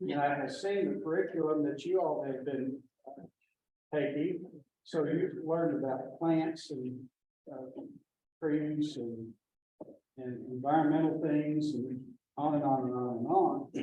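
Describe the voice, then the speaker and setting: A man speaks fairly slowly with long, frequent pauses, at a fairly high pitch with ordinary variation, amid audible room echo. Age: 80s+. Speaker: birding instructor. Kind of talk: lecture. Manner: halting.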